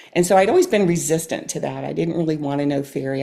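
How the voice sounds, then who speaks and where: Speaking at a very fast pace, a woman uses a dark, mellow tone with vocal fry. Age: 60s. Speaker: amateur clarinetist and retired nurse practitioner. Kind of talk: casual interview.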